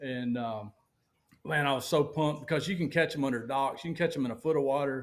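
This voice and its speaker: A man with a Southern US accent, fairly high pitch, ordinary pitch variation and a very fast pace. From US South, Alabama. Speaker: professional bass angler. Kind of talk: casual interview chat. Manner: animated.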